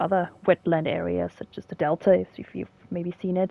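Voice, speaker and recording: Fairly low in pitch and with a German accent, a woman talks at a fairly quick pace in a dry, close sound with no echo. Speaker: gaming video creator, biology commentator. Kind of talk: gameplay commentary, educational. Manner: casual, with fillers and hesitations.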